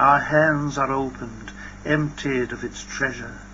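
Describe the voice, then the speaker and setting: Fairly slow talk from a man amid noticeable background noise. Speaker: poet. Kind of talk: poetry reading. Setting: old cassette tape recording.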